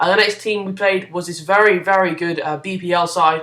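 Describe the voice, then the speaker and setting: Over noticeable background noise, a man with a high pitch speaks in a raised, projected voice at a fairly quick pace, his intonation monotone and flat. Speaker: gaming YouTuber. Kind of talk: gameplay commentary. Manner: mumbling; hesitant, many fillers.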